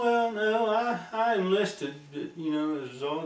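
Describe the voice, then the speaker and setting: With a West Virginia accent, a man speaks at a fairly slow pace with ordinary pitch variation. Noticeable background noise runs under his voice. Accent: West Virginia, Appalachian. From Nicholas County, West Virginia. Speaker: Air Force veteran. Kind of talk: interview answer. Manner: casual, conversational.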